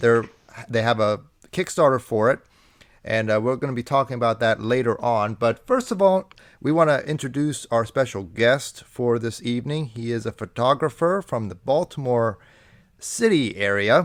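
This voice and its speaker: A man with a Minnesotan accent at a moderate pace, on a very clean recording with a silent background. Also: medium pitch for a man, ordinary pitch variation. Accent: Minnesota. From US Midwest, Minnesota. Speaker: podcast host. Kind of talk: casual chat.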